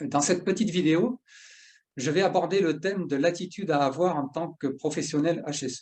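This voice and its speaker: Here a man with a high pitch speaks at a moderate pace with ordinary pitch variation. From southern France. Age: 50s. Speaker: workplace safety specialist. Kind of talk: educational talk. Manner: halting, many filler 'euh'.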